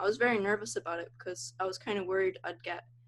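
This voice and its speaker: This woman talks at a very fast pace. Her pitch is medium. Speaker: interviewee sharing personal experience. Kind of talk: interview. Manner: halting, many fillers.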